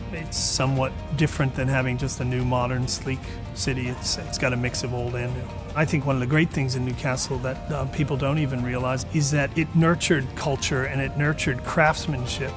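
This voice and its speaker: A man talks at a fairly quick pace over clear background music. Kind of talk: interview answer. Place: bar. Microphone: lapel.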